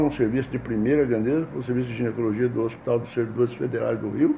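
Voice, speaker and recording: Noticeable background noise sits under a man's medium-pitched voice. He talks at a fairly quick pace with fairly even intonation. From Brazil, Mato Grosso do Sul (Campo Grande). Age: 80s+. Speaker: retired physician and professor. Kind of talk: interview testimony. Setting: academy headquarters. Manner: halting, with fillers and restarts.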